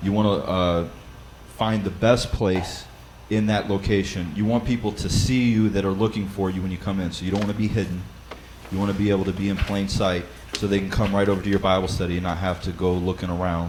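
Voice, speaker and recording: A man speaks very fast in a fairly low pitch, with monotone, flat intonation. Audible room echo and noticeable background noise are present. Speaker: church Bible study leader. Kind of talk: seminar talk.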